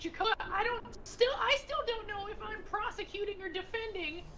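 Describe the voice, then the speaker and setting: Over clear background noise, a put-on character voice at an extremely high pitch speaks at a moderate pace. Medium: game stream.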